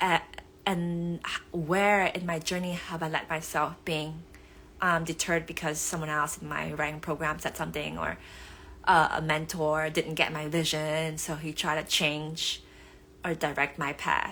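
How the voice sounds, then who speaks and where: Bright and sharp in tone, a woman speaks with a Vietnamese accent. Her pitch is very deep and low, and her intonation is monotone and flat. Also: moderate pace. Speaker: author. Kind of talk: live stream talk. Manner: hesitant with many fillers.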